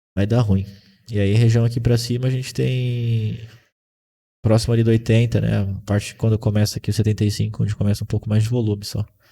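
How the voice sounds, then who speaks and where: A man's fairly low, somewhat breathy voice with a dark, mellow tone, fairly quick and fairly even in intonation, in a very clean recording with a silent background. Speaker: day trading instructor. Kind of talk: live trading class. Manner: fast.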